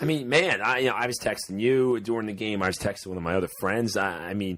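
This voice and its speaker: A man with an American accent talks at a very fast pace in a fairly low pitch. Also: ordinary pitch variation. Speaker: sports podcast host. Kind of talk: casual chat.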